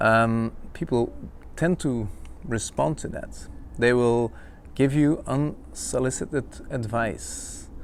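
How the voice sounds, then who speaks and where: Speaking with a non-native accent, a man talks at a very slow pace with long, frequent pauses. His medium pitch carries lively intonation. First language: not English. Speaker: podcaster, self-help coach. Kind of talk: casual monologue. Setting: outdoor-ish home location, not a studio. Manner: hesitant, many fillers.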